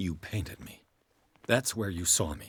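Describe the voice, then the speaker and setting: A man in a put-on character voice talks at a moderate pace, pitched very deep and low. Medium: video game. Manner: urgent, practical.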